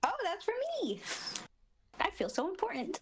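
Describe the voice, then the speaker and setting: A woman puts on a squeaky character voice with a bubbly tone at an extremely high pitch. Her pitch swings very widely at a moderate pace. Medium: actual play.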